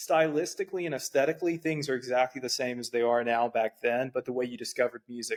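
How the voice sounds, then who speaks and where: Speaking at a fairly quick pace, a man with an American accent has a medium pitch and fairly even intonation. The sound is dry and close with no echo. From US South, South Georgia. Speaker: podcast host. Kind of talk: casual interview.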